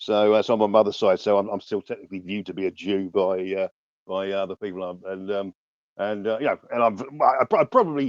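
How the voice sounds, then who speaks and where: Here a man speaks with a southern English accent at a very fast pace. His pitch is fairly low and his intonation fairly even. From southern England, Ascot in Berkshire. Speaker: journalist. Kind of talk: debate. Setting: online audio space. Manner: halting, many repetitions and false starts.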